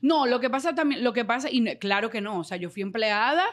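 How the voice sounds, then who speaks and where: Fairly high pitch from a woman at a fairly quick pace, over a quiet background. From Dominican Republic. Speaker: radio and TV presenter; radio, TV presenter. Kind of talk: casual interview. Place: studio. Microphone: studio mic.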